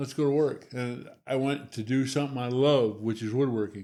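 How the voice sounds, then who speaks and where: A man talks in an unremarkable speaking voice at a moderate pace. His pitch is medium and his intonation fairly even. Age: 60s. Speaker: Parkinson's patient sharing his story. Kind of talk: interview testimony.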